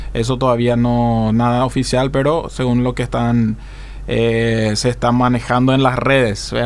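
With audible room echo and noticeable background noise, a man speaks at a fairly slow pace in a monotone, flat intonation, keeping his loudness very even. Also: medium pitch for a man. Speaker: radio co-host, sports segment. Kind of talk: sports news and story on radio.

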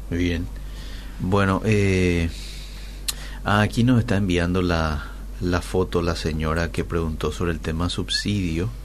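At a very slow pace with long, frequent pauses, the speaker uses lively intonation over audible room echo and noticeable background noise. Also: man, very deep, low pitch for a man. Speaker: radio host. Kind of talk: radio interview; reading aloud.

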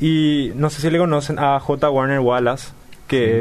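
This man has an ordinary speaking voice at a medium pitch. His intonation stays fairly even. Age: 20s. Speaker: university student. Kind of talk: radio interview.

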